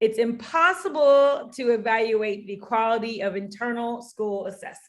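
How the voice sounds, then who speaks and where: With an American accent, a woman speaks in an ordinary speaking voice at a fairly high pitch and a moderate pace, with ordinary pitch variation and big swings in loudness. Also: hardly any pauses. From US, Denver, Colorado. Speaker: teacher trainer, literacy coach. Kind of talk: online workshop presentation. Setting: video call.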